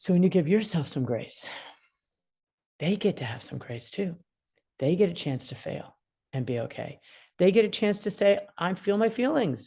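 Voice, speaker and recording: A woman's medium-pitched voice with vocal fry and a dark, mellow tone, very wide pitch swings, big swings in loudness, and long, frequent pauses against a quiet background. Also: moderate pace. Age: 60s. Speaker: attorney mediator. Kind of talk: interview.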